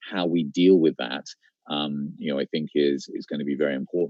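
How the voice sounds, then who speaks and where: In a British accent, a man speaks at a moderate pace in a dry, close recording with no echo. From UK. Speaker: startup investor in travel industry. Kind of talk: panel discussion interview. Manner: hesitant, many fillers.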